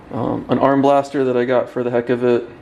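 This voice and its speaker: Noticeable background noise surrounds the recording. A man speaks at a fairly slow pace. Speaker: powerlifter. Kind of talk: casual gym tour talk to camera. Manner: monotone; hesitant, many filler ums.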